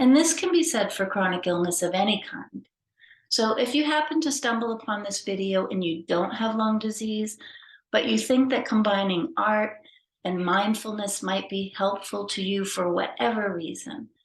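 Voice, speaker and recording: At a moderate pace, a woman speaks with a fairly high pitch and a somewhat breathy quality. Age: 60s. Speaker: former social worker and artist with chronic lung disease. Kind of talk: informal talk introducing an art workshop.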